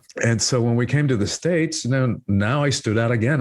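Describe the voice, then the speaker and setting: This man talks at a fairly quick pace with an American accent and a somewhat breathy, medium-pitched voice. His pitch varies in an ordinary way, and the recording is very clean with a silent background. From Cuba, then rural Georgia (US). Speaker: spiritual teacher and author. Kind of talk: podcast interview. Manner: many fillers and repetitions.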